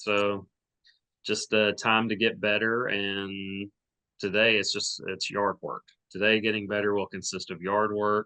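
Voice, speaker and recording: A man with a fairly low pitch speaks at a fairly slow pace in a flat monotone, his bright, sharp tone caught in a dry, close sound with no echo. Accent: Arkansas. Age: 30s. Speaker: podcast host, amateur runner. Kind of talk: casual chat.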